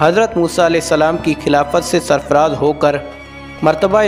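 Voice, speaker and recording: Over music in the background, a man speaks at a fairly high pitch. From Pakistan. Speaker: voice over artist. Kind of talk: Islamic story narration.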